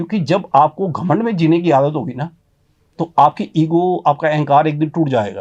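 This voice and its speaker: This man has a normal speaking voice at fairly high pitch. His pitch varies in an ordinary way. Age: 60s. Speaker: motivational speaker. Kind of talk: interview. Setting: studio.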